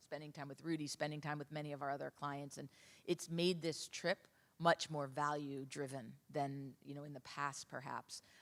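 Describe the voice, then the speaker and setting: A woman's very deep, low voice with monotone, flat intonation and a New York accent. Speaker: travel industry consultant. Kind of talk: conference panel discussion.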